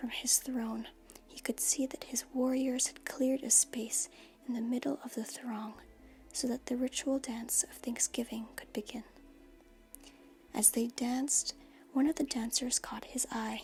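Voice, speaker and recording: Soft-spoken whispering at a fairly slow pace, with long, frequent pauses and music in the background. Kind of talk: soft-spoken ASMR story reading. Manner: soft-spoken, whispery.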